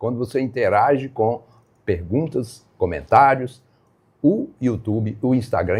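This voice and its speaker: A man speaks in a dark, mellow, somewhat breathy tone. His pace is fairly slow, but his intonation is lively. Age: 70s. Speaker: live stream host teaching phone use to seniors. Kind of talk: live stream talk to viewers.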